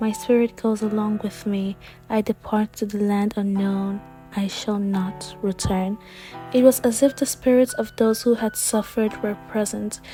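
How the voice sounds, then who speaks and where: The speaker talks at a moderate pace with fairly even intonation. Music plays in the background. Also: woman, fairly high pitch for a woman. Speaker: young author and vlogger. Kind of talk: educational history narration.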